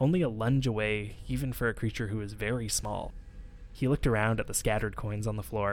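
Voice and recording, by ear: Here a person is reading aloud in a natural voice.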